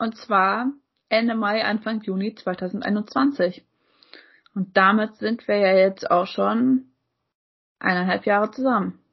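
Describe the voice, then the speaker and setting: A woman speaks at a very slow pace with ordinary pitch variation. Her pauses are long and frequent. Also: medium pitch for a woman. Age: 20s. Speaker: podcast co-host. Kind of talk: casual chat.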